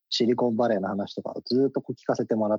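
In a dry, close sound with no echo, a man speaks at a fairly quick pace with a dark, mellow tone. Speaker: company CEO. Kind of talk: radio interview.

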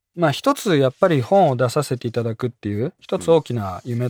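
Over a very clean recording with a silent background and a dry, close sound with no echo, a man with a plain, everyday voice talks at a moderate pace in a medium pitch with lively intonation. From Japan, Tottori. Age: 30s. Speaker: author and language coach. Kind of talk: radio interview. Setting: studio.

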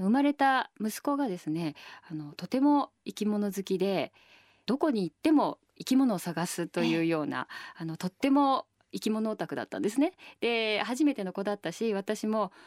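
In a very clean recording with a silent background and a dry, close sound with no echo, a woman speaks at a moderate pace with a fairly high pitch and very wide pitch swings. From Tokyo, Japan. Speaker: nonprofit chairperson and architecture writer. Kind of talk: radio interview. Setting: radio studio. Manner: hesitant with frequent fillers.

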